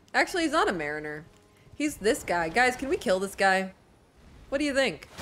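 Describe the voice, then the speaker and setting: A woman talks at a fairly quick pace with an American accent, her pitch swinging very widely. Light background noise sits under her voice. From northern US. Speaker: video game streamer. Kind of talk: live gameplay stream commentary. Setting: live stream at home. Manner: casual, self-deprecating chatter with stumbles. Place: home room. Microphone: studio mic.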